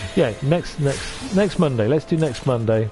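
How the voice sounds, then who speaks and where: With a Welsh accent, a man speaks at a fairly high pitch with lively intonation. Music plays in the background. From North Wales. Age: 50s. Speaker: streamer and voice actor. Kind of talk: casual chat.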